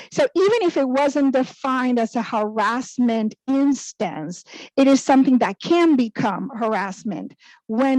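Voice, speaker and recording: A woman with a Spanish accent has a dark, mellow tone and ordinary pitch variation. The sound is dry and close, with no echo. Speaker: human resources director. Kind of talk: panel discussion.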